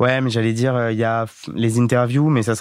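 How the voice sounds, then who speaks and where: A man with a medium-pitched voice keeps a moderate pace, his intonation monotone and flat. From France, Corrèze (rural). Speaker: dating podcast guest. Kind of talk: casual interview. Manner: hesitant, many fillers.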